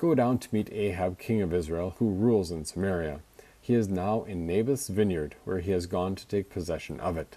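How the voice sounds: A natural reading voice with pitch shifting in an ordinary way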